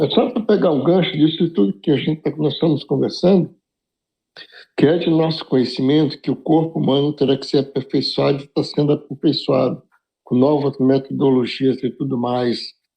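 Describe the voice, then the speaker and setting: With music in the background, a man talks in a fairly high pitch. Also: ordinary pitch variation, moderate pace. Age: 70s. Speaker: study group participant. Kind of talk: group study discussion.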